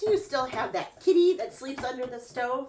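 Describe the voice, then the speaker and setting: In a put-on character voice, a female-sounding speaker sounds shrill and high in pitch. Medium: read story. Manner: screechy.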